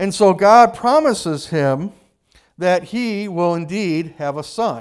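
A man speaks with an American accent. His voice is high in pitch. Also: very clean recording, silent background. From United States. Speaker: pastor. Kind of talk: sermon.

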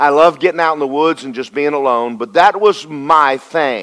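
A man with a Southern US accent and a fairly high pitch talks at a moderate pace in an animated tone. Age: 60s. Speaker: pastor. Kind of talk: sermon. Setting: church.

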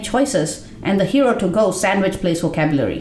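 A woman talks at a moderate pace, her pitch swinging very widely. Noticeable background noise sits behind her. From India. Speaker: essay writer and performer. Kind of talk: reading aloud a personal essay.

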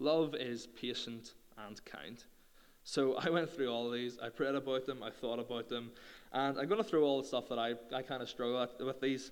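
With a Northern Irish accent, a man talks at a moderate pace, his medium pitch showing ordinary variation. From Northern Ireland. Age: 20s. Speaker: youth speaker. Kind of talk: sermon.

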